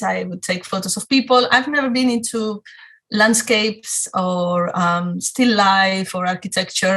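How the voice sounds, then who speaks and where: This woman has a strong Spanish accent and a bright, sharp tone at medium pitch. She speaks at a fairly slow pace with ordinary pitch variation. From Spain, Madrid. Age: 40s. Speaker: photographer. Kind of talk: talk to a club audience. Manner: hesitant, many fillers.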